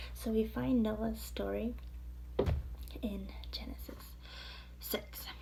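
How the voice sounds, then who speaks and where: A woman speaks quietly amid noticeable background noise. Room echo is audible. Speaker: Bible study vlogger. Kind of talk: devotional Bible teaching. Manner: casual with fillers.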